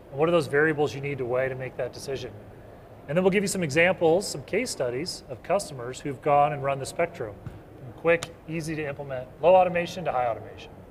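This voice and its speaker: A man speaks at a very fast pace in a fairly high pitch. There is audible room echo. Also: ordinary pitch variation, big swings in loudness. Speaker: business development presenter. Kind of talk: conference presentation. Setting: stage with live audience. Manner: loud.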